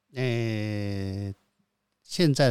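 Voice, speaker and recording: A man speaks with a dark, mellow tone and ordinary pitch variation. The recording is very clean, with a silent background. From Taiwan, Hsinchu (Xiangshan). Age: 50s. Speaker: founder of a comic convention. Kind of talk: interview. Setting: organization headquarters. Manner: terse.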